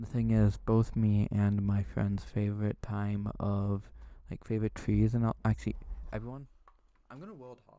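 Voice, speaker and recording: A soft-spoken man with a fairly low pitch and a dark, mellow tone, monotone and flat in intonation, at a moderate pace with big swings in loudness. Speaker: ASMR streamer. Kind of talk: live stream chat. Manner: quiet, soft-spoken; flat, emotionless.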